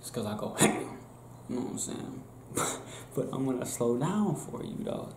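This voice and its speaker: A man speaks with audible room echo. Music plays in the background. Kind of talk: casual role-play monologue to camera. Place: home room. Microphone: webcam.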